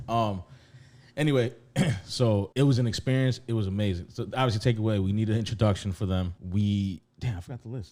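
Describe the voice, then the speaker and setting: A fairly quick man's voice, fairly low in pitch, with a dark, mellow tone. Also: ordinary pitch variation. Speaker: podcast co-host. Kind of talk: casual chat. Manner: loud.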